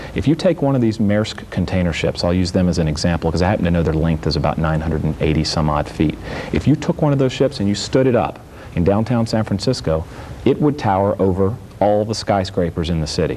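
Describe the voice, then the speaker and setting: Over noticeable background noise, a man with an American accent talks at a fairly quick pace. His very deep, low voice has lively intonation and very even loudness. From Virginia, US. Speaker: Coast Guard vessel traffic trainer, former service member. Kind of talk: TV interview.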